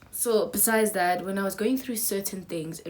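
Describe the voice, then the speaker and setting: A woman speaks with a strong South African accent. Her pitch varies in an ordinary way. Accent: strong Zulu South African. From South Africa, KwaZulu-Natal. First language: Zulu. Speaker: YouTuber. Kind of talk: casual chat. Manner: hesitant, many fillers.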